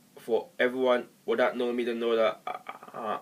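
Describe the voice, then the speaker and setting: Against noticeable background noise, a man at medium pitch talks with monotone, flat intonation. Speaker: vlogger. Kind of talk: personal video monologue. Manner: halting.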